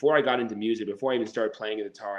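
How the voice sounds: With fairly even intonation, a man speaks at a fairly low pitch.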